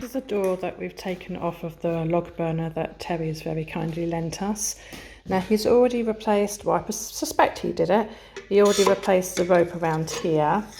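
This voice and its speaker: With an English accent, a woman talks at a fairly quick pace amid noticeable background noise. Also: medium pitch for a woman, ordinary pitch variation. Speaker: YouTuber renovating a chateau. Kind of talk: casual vlog narration. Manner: whispering.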